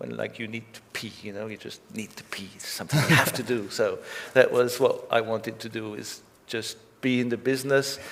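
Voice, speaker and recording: Over noticeable background noise, a man talks at a fairly quick pace, his loudness swinging widely. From Belgium. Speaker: record label founder. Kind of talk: onstage interview.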